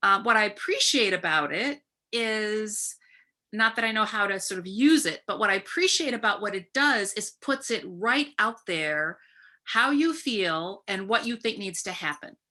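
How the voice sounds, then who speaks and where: Her voice is fairly high, and this woman's tone is bright and sharp. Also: lively intonation, moderate pace. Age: 60s. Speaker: professor and anti-violence scholar. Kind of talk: webinar conversation. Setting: video webinar.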